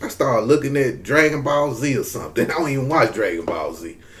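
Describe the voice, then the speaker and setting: A man with a Southern US accent amid noticeable background noise. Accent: Southern US drawl. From US South, Mississippi. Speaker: YouTube commentator. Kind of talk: casual vlog commentary.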